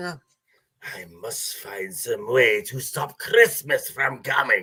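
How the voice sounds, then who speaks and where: A man uses a put-on character voice at a fairly high pitch. He speaks at a very slow pace. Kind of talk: storytelling. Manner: growling, sneering.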